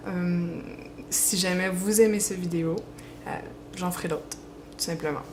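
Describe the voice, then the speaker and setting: With a Quebec accent, a woman with fairly low pitch and fairly even intonation takes long, frequent pauses amid noticeable background noise and audible room echo. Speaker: fan fiction writer and page admin. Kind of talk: Q&A video, casual. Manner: hesitant, many fillers.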